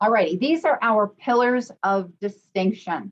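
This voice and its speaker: A woman is speaking. She has an American accent. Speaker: cruise line sales representative. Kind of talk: online sales presentation.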